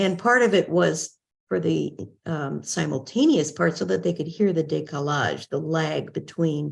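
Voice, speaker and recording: A woman speaks at a very deep, low pitch with vocal fry. Her pitch swings very widely over a quiet background. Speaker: court interpreter and trainer. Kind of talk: podcast interview.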